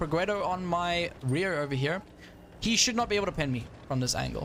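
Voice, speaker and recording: At a moderate pace, a man with a South African accent speaks in a high pitch with lively intonation. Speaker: gaming streamer. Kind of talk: live gameplay commentary. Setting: live stream. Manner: animated.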